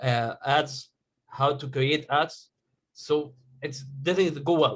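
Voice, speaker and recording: Speaking very slowly with an Egyptian accent, a man uses a fairly high pitch. His intonation stays fairly even, and his voice is somewhat breathy. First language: Arabic. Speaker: digital marketing agency owner. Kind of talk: question in group coaching call. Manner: halting.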